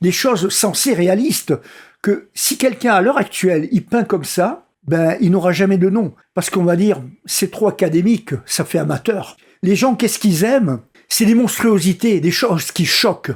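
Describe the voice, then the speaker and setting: On a very clean recording with a silent background, a man speaks with high pitch and lively intonation. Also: moderate pace. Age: 60s. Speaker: vlogger. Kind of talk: casual monologue vlog. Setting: at a friend's home. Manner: halting.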